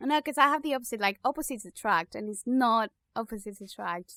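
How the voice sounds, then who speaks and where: In a very clean recording with a silent background, a woman with a Spanish accent speaks with fairly high pitch and a bright, sharp tone, the sound dry and close with no echo. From Spain. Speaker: podcast co-host. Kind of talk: casual chat.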